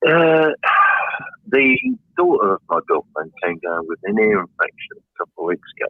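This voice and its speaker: Speaking at a moderate pace, a man leaves long, frequent pauses and makes big swings in loudness. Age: 60s. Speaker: caller. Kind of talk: casual chat.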